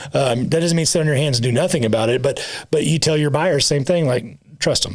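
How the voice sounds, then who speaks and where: A man talks at a very fast pace. His pitch is fairly high, with ordinary pitch variation. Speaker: title company owner and podcast co-host. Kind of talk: casual podcast chat. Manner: halting, self-correcting.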